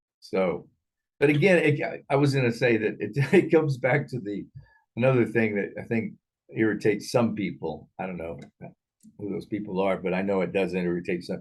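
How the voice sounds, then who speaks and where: A man's fairly low voice at a fairly quick pace, with very wide pitch swings and long, frequent pauses. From Thailand. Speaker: film discussion show host. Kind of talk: casual chat. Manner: halting, many repetitions.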